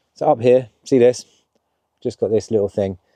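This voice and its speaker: A man of medium pitch speaks at a moderate pace with fairly even intonation. His tone is dark and mellow, and the sound is dry and close with no echo. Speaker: camper van vlogger. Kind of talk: casual vlog walkthrough. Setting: inside a camper van at a campsite.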